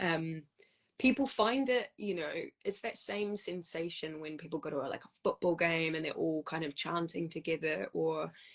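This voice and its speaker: With lively intonation, a woman speaks in a New Zealand accent. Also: fairly low pitch for a woman, moderate pace. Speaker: musician and choir leader. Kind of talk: casual interview.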